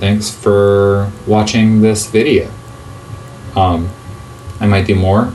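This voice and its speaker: Music in the background and audible room echo surround a man speaking in a fairly low pitch. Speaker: gaming YouTuber. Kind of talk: gameplay commentary. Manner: halting, many filler ums; improvised rambling.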